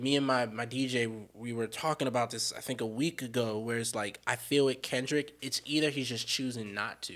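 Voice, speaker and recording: A man with an American accent has an unremarkable speaking voice at medium pitch, talking at a moderate pace with fairly even intonation and hardly any pauses. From US, Washington DC area. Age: 20s. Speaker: rapper. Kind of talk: casual chat.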